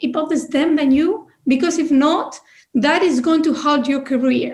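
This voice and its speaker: A woman speaks at a moderate pace with a non-native accent. Her pitch is high. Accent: non-native, non-British. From Chile, outside Santiago. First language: Spanish. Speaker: business leader, panelist. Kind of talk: panel discussion.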